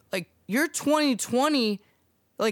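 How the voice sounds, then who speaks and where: A man talks at an extremely high pitch with lively intonation. The sound is dry and close, with no echo. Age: 20s. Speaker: podcast co-host. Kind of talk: casual chat. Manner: halting.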